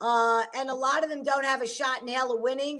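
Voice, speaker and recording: Animated woman with an American accent and a high pitch. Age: 60s. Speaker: political commentator. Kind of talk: talk show political discussion.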